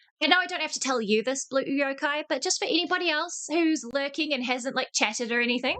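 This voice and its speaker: Raised and projected, a woman's high-pitched voice races along at a very fast pace with hardly any pauses. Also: ordinary pitch variation. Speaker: streamer, channel owner and Discord admin. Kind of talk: casual livestream chat. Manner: casual, swearing-heavy.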